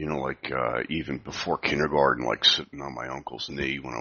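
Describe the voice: A quiet man speaks at a fairly quick pace in an extremely low pitch with a bright, sharp tone and vocal fry. His intonation stays fairly even.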